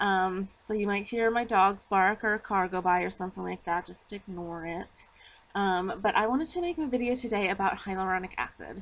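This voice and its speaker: Her pitch varies in an ordinary way as the woman talks at a fairly quick pace. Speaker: skincare vlogger. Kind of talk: casual explanatory vlog. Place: street. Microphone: phone near.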